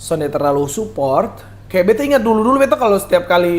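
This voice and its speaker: Talking at a very fast pace, a man speaks in a Kupang accent. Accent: Kupang Malay-accented Indonesian. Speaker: singer, singing competition contestant. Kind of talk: podcast interview.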